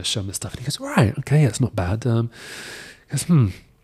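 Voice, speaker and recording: A man's somewhat breathy voice comes through in a British accent. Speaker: film concept designer. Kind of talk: casual podcast interview. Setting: workshop.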